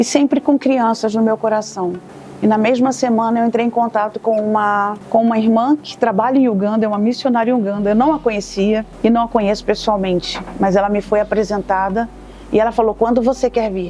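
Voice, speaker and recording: With fairly even intonation, a woman talks over noticeable background noise. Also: fairly high pitch for a woman. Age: 60s. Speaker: missionary volunteer. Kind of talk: testimony.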